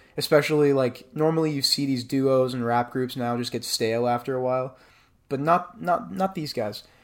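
An ordinary speaking voice from a man, medium in pitch, with ordinary pitch variation and a moderate pace. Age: 20s. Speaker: podcast host, music reviewer. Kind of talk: album review monologue; casual personal message to family. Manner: casual with frequent fillers.

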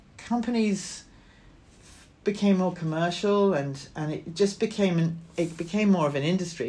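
A woman's fairly low, somewhat breathy voice, dark and mellow in tone, at a moderate pace with ordinary pitch variation. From Scotland, small town. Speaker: film producer. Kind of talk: interview.

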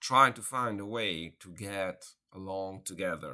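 A man talks with an Italian accent in a bright, sharp tone and ordinary pitch variation. The recording is very clean, with a silent background. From Italy. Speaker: professor of international relations. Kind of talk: interview. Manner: halting.

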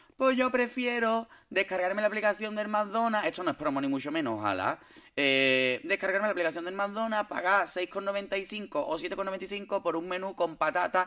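A man talks in a raised, projected voice at a high pitch, with lively intonation. His pace is fairly slow with hardly any pauses, over noticeable background noise. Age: 30s. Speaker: podcast host. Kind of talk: casual chat. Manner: animated.

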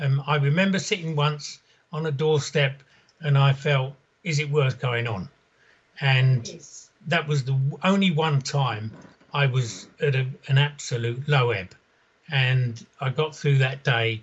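A man talks at a fairly slow pace with fairly high pitch and a somewhat breathy voice. His pitch varies in an ordinary way, and he takes long, frequent pauses. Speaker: caller. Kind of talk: phone-in call.

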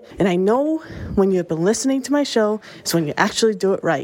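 Over noticeable background noise, a woman talks in an animated tone at a very fast pace, with ordinary pitch variation. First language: not English. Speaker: music podcast host. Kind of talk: casual music show narration. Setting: outdoors, walking in the rain.

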